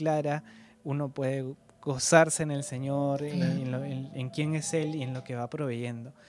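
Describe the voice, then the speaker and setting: A man with a fairly high pitch speaks in fairly even intonation. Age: 20s. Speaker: podcast host. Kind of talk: interview. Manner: halting, repeats words.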